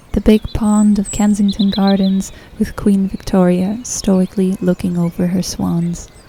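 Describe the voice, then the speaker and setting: Her pitch sits in the medium range for a woman, delivered in a monotone, flat intonation. Noticeable background noise is audible. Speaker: podcast host. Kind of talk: scripted travel narration.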